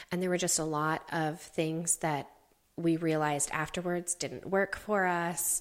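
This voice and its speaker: Here a woman talks at a fairly slow pace. Her pitch is fairly low. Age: 30s. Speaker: podcast host. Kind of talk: interview. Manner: casual, enthusiastic.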